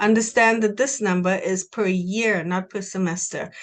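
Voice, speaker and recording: With a Trinidadian accent, a woman talks at a moderate pace and medium pitch, her intonation fairly even against a quiet background. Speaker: university recruiter. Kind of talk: presentation.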